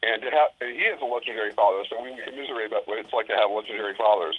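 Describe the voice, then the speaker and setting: Talking at a very fast pace, a man uses a medium pitch and an American accent. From Los Angeles. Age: 50s. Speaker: son of a famous comedian. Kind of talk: interview. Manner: animated.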